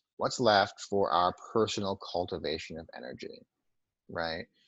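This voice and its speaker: A man's fairly low-pitched, normal speaking voice at a fairly slow pace. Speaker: trance work facilitator. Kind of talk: webinar talk; guided meditation. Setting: webinar.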